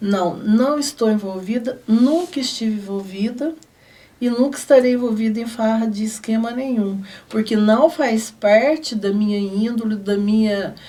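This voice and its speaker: Somewhat breathy with a dark, mellow tone, a woman speaks at a fairly high pitch and a fairly slow pace, with ordinary pitch variation. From Brazil, southern Minas Gerais (Guaxupé). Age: 60s. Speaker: city councillor. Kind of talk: TV interview. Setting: studio.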